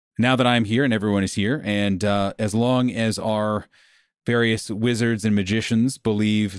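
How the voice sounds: Intonation is fairly even in a natural reading voice. Nothing but a quiet background surrounds it.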